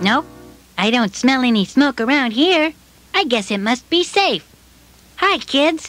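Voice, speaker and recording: A cartoonish character voice that sounds female speaks at a fairly slow pace and a high pitch, with long, frequent pauses. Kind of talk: children's puppet show.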